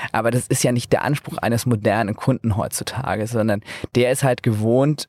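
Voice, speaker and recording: A man speaks in a normal speaking voice at a medium pitch with fairly even intonation. The sound is dry and close with no echo, on a very clean recording with a silent background. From northern Germany, Flensburg. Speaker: energy startup founder. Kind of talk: interview. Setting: mobile podcast studio at trade fair.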